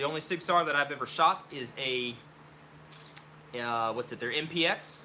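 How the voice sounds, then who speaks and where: A man mumbling with an American accent. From Oklahoma. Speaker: gun hobbyist streamer. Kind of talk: live stream Q&A. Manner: casual, mumbling.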